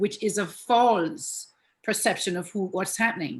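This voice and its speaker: A woman speaks in a somewhat breathy voice with lively intonation. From Jamaica. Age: 60s. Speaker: relationship coach and therapist. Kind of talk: interview.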